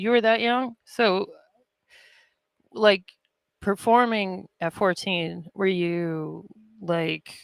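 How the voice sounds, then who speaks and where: A woman speaks at a very slow pace with long, frequent pauses, in a dry, close sound with no echo. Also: medium pitch for a woman. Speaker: podcast host. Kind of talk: interview. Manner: monotone.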